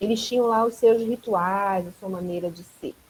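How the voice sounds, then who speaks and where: A woman talks at a fairly slow pace with lively intonation. Her voice is somewhat breathy. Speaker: anthropology professor. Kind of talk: online class Q&A, explaining a concept.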